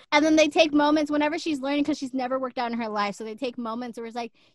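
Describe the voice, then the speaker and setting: With an American accent, a woman talks in a high pitch, using an animated tone and ordinary pitch variation. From Texas. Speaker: podcast co-host. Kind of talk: casual chat.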